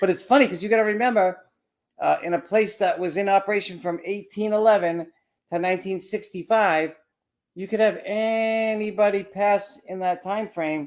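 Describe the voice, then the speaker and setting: A man talks loudly at a moderate pace, his high voice carrying fairly even intonation. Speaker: paranormal investigator. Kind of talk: casual chat.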